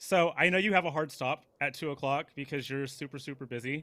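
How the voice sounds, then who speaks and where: Loud and bright with a sharp tone, a man's fairly high voice moves at a moderate pace with ordinary pitch variation in a very clean recording with a silent background. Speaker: interview host. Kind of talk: casual interview.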